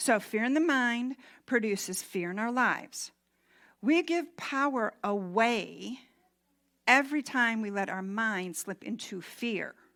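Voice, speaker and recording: In a very clean recording with a silent background, a woman speaks with an American accent at a fairly slow pace. Her fairly high voice has a bright, sharp tone and lively intonation. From US, Mennonite community. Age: 60s. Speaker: minister. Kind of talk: sermon.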